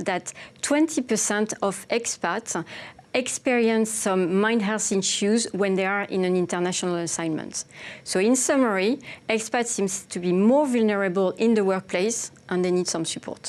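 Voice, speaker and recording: A woman's fairly high voice in a French accent, at a moderate pace with ordinary pitch variation. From France. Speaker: insurance company representative. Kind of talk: panel discussion.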